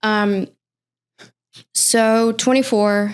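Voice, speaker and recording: This woman speaks with a Mississippi accent. The recording is very clean, with a silent background. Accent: Southern US (Mississippi). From US South, Mississippi. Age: 30s. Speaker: recovering addict sharing testimony. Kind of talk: testimony in podcast interview.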